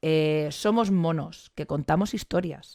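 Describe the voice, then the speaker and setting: On a very clean recording with a silent background, a woman speaks with lively intonation. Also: dry, close sound with no echo. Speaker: biology teacher and science communicator. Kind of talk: conference talk. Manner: fast.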